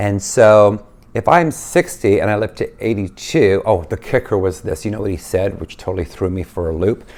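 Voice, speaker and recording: Using hardly any pauses, a man with a normal speaking voice talks at a moderate pace in a fairly low pitch with ordinary pitch variation. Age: 60s. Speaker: lifestyle vlogger. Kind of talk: casual vlog monologue. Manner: conversational, with fillers and restarts.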